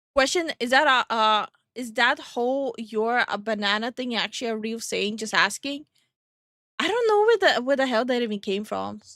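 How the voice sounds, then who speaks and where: Bright and sharp in tone, a woman with an American accent speaks at a high pitch with ordinary pitch variation, the sound dry and close with no echo. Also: moderate pace. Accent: sounds American to listeners. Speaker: vtuber streamer. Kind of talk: casual chat. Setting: live stream.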